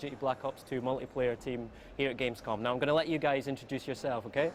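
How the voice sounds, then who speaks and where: Speaking at a very fast pace, a man keeps a fairly high pitch and fairly even intonation. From Scotland. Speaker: event interviewer. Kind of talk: event interview. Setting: gaming convention floor.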